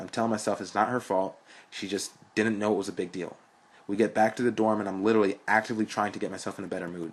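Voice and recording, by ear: Reading aloud in a natural voice, intonation fairly even throughout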